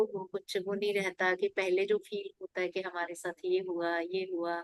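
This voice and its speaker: Recorded in a dry, close sound with no echo, a woman speaks at a medium pitch. Her intonation is monotone and flat. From rural India. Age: 50s. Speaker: meditation class participant. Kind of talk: sharing personal meditation experience.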